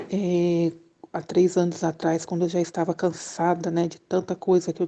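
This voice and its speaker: Over a quiet background, a woman with a fairly low pitch and a dark, mellow tone speaks at a fairly slow pace in a monotone, flat intonation. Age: 40s. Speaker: churchgoer sharing her life story. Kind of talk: testimony. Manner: halting.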